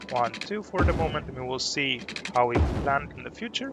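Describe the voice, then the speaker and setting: A man with lively intonation at a moderate pace, over noticeable background noise. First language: not English. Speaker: gaming streamer. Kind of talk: live gameplay commentary. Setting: live stream.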